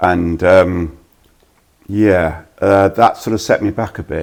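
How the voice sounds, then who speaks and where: Very deep, low male voice, intonation fairly even. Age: 60s. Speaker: walking footballer and author. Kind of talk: podcast interview.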